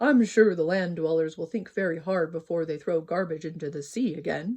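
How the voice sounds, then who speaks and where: A put-on character voice at middle pitch runs along at a fairly quick pace. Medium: read story.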